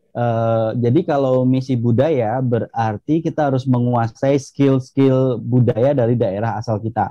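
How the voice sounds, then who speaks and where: A man speaks with a Javanese accent at a medium pitch and a fairly slow pace. His loudness stays very even, with hardly any pauses. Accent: Javanese-accented Indonesian. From Indonesia, Jambi (Rimbo Bujang, Javanese transmigrant area). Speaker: academic with US doctorate, former top student. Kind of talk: interview. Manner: hesitant, many fillers.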